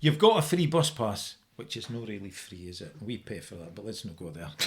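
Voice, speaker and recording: A man in a Dundee accent, with vocal fry, very wide pitch swings and a fairly quick pace. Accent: Dundee Scots. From Scotland, Dundee. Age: 60s. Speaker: firefighter. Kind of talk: casual chat.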